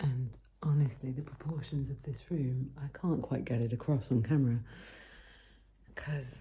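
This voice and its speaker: A woman's very deep, low, somewhat breathy voice with a British accent and a dark, mellow tone, at a moderate pace with long, frequent pauses. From United Kingdom. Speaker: voice actor. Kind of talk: casual talk to camera. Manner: stream of consciousness, ranting.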